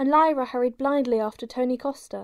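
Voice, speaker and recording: In a very clean recording with a silent background, a woman speaks in a dramatic tone. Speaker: audiobook narrator. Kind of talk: scripted audiobook narration, dramatic reading aloud of a novel. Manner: dramatic, expressive, changing voices for characters.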